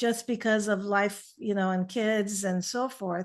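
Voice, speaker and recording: Fairly high-pitched woman's voice in a Persian accent, over a quiet background. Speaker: naturopathic physician. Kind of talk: interview. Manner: halting.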